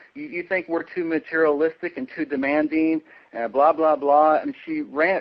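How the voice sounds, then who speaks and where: A man with an American accent talks at a moderate pace in a fairly high pitch with ordinary pitch variation, a plain, everyday voice. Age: 40s. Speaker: interviewee. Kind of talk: interview.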